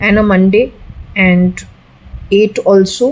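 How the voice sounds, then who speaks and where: A woman with an Indian accent, fairly slow pace and ordinary pitch variation. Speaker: occultist, psychic reader. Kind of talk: solo spiritual reading session, talking to a spirit. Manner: casual, conversational.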